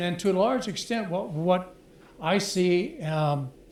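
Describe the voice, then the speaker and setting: There's audible room echo around a man's high-pitched voice with ordinary pitch variation. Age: 80s+. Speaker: audience member in a discussion. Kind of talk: group discussion comment.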